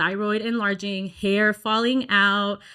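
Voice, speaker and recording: On a very clean recording with a silent background, a woman with a Texan accent speaks at a very slow pace and a fairly high pitch. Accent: Texan American English. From Dallas, Texas. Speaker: singer. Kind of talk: interview answer.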